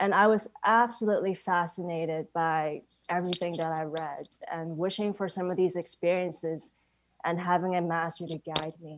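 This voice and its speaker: In a very clean recording with a silent background, a woman speaks with an ordinary speaking voice, fairly low in pitch, at a moderate pace with big swings in loudness. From Hong Kong, later Canada. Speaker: full-time staff member of a spiritual society. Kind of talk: personal testimony.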